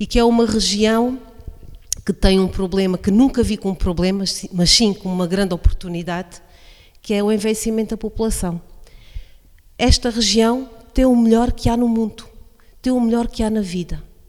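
A woman speaks at a moderate pace in a fairly high pitch, her intonation fairly even and broken by long, frequent pauses. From Portugal, Alto Alentejo. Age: 40s. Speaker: coordinator of a social project for older people. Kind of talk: radio interview. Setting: radio broadcast from incubator premises, masks and distancing.

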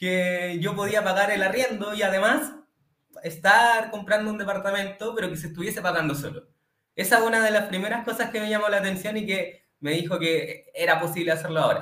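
With audible room echo, a man in a raised, projected voice speaks at a high pitch and a fairly quick pace with ordinary pitch variation. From Chile, Santiago. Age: 20s. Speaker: electrical engineer, client testimonial. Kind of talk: testimony.

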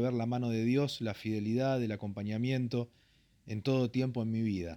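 On a very clean recording with a silent background, a man of medium pitch speaks at a moderate pace with fairly even intonation. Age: 40s. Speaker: pastor. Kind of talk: interview testimony. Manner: halting, frequent fillers.

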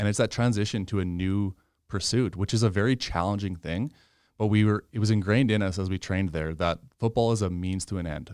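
A man speaks with a Canadian prairie accent. He keeps a fairly quick pace. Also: fairly even intonation. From Canada, Saskatchewan. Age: 20s. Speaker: medical student and former reality TV contestant. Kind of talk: casual interview. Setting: in-person studio.

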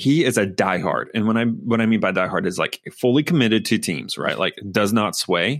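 A man speaks in a normal speaking voice at a medium pitch, with lively intonation. His loudness stays very even and he leaves hardly any pauses. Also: moderate pace. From US South. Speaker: sports podcast co-host. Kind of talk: casual chat.

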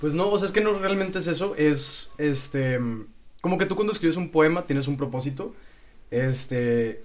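Lively intonation comes at a moderate pace, with audible room echo and music in the background. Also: man, fairly high pitch for a man. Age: 20s. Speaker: amateur poet. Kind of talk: casual chat.

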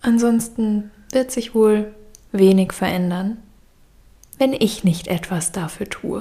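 A woman's fairly high, dark and mellow, somewhat breathy voice, very slow with long, frequent pauses and ordinary pitch variation. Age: 30s. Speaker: podcaster. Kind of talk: personal monologue. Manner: reflective.

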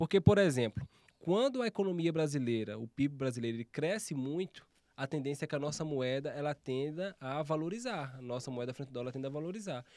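In a very clean recording with a silent background, a man with an unremarkable speaking voice talks at a fairly quick pace and a fairly high pitch, with lively intonation. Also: dry, close sound with no echo. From Alagoas, Brazilian Northeast (interior). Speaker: economist. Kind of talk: casual chat.

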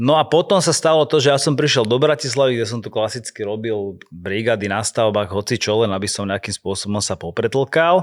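Using a plain, everyday voice, a man of medium pitch talks at a fairly quick pace with lively intonation and hardly any pauses. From Slovakia, Handlová. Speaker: dancer and choreographer. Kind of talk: casual interview.

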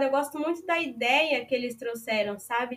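Her voice high in pitch, a woman talks at a moderate pace. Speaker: university exchange student. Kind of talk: interview.

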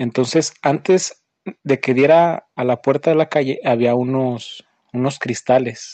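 This man has a normal speaking voice at a medium pitch. He talks at a fairly slow pace with fairly even intonation. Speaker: host's brother sharing a story. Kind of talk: recorded voice message anecdote.

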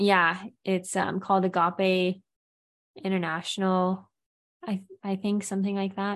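A woman with an American accent speaks at a medium pitch and a fairly slow pace, with long, frequent pauses. Her intonation is monotone and flat, and the background is quiet. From California. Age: 20s. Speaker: singer-songwriter and yoga teacher. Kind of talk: casual interview chat.

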